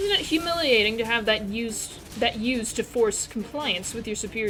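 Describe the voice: The text is plainly read aloud with lively intonation.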